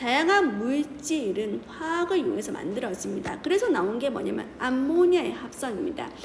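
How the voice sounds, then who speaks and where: Amid noticeable background noise and audible room echo, a woman speaks in a high voice with very wide pitch swings and hardly any pauses. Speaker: chemistry teacher. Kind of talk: lecture. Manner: fast.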